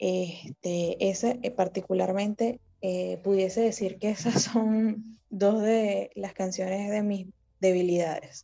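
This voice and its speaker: A woman of medium pitch with fairly even intonation and a very slow pace. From Venezuela. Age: 20s. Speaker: fan account manager. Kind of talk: casual interview.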